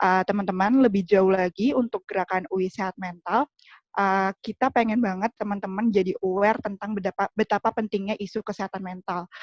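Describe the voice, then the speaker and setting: Music plays in the background as a woman speaks at a fairly quick pace with hardly any pauses, her medium pitch carrying fairly even intonation. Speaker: student union chair. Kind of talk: formal welcome speech. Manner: formal, with hesitations.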